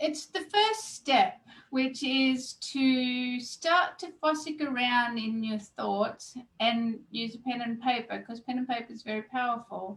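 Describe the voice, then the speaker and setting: At a fairly slow pace, the speech shows ordinary pitch variation and big swings in loudness. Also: woman, high pitch for a woman. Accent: Australian. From Australia, Gold Coast. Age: 50s. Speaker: weight loss coach. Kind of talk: interview. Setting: video call.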